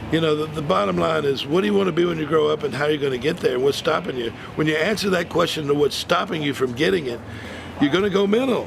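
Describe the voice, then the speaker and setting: A man's fairly high voice at a very fast pace, with lively intonation, over noticeable background noise. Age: 60s. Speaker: martial artist and motivational speaker. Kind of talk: interview. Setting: martial arts event.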